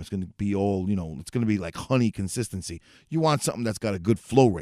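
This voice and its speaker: A man's ordinary speaking voice with an American accent, fairly quick and lively in intonation, dry and close with no echo, on a very clean recording with a silent background. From New York City. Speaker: motorcycle podcast host. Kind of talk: casual solo talk show. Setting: home studio, livestream.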